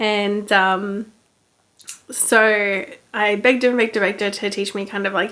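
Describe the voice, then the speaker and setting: A woman with an Australian accent, medium pitch, bright, sharp yet relaxed tone, monotone, flat intonation, moderate pace and long, frequent pauses. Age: 20s. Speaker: knitting podcaster. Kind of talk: casual chat. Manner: relaxed, filler-heavy.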